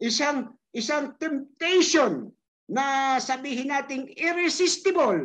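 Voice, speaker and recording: A woman speaks with a high pitch and ordinary pitch variation. Her pace is very slow. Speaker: pastor. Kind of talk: scripture reading and prayer. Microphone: video call.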